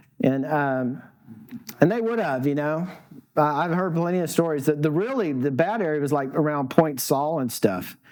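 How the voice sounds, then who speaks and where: Lively intonation is heard alongside audible room echo. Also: man, fairly high pitch for a man, moderate pace. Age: 60s. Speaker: surf photographer. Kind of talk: talk to an audience, storytelling. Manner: halting, many false starts.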